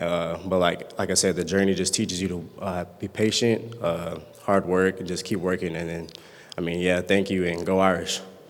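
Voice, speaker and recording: Over noticeable background noise and audible room echo, a man talks at a moderate pace in a very deep, low pitch with monotone, flat intonation. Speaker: college football player. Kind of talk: award acceptance speech. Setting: banquet stage with audience. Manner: halting, stuttering.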